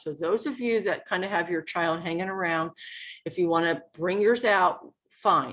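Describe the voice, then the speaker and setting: A woman speaks at a moderate pace in a fairly low pitch, with ordinary pitch variation. It is a plain, everyday voice against a quiet background. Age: 60s. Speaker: educational consultant. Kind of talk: webinar presentation.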